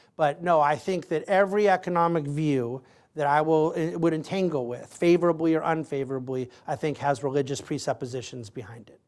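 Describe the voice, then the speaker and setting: A man with a normal speaking voice and fairly high pitch, fairly quick pace with hardly any pauses, ordinary pitch variation and big swings in loudness, in a very clean recording with a silent background. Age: 40s. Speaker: lecturer answering student questions. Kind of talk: audience Q&A.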